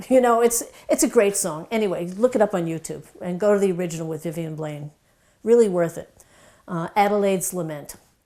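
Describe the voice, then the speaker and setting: At a fairly quick pace, a woman with a slight Brooklyn accent and a medium pitch speaks in a dark, mellow tone with ordinary pitch variation and big swings in loudness, on a very clean recording with a silent background. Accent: slight Brooklyn New York. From New York (Brooklyn). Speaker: doctor / wellness educator. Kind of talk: casual talk to camera.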